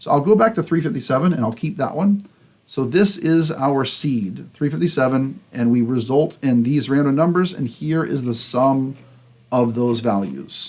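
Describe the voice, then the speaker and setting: A man's unremarkable speaking voice, fairly high in pitch, at a moderate pace with lively intonation. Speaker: computer science instructor. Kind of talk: lecture.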